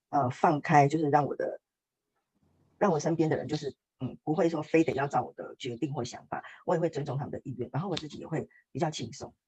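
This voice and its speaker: A woman with a very deep, low pitch and a dark, mellow tone speaks at a fairly quick pace, somewhat breathy, with big swings in loudness. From Taiwan. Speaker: workshop participant sharing testimony. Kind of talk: testimony interview.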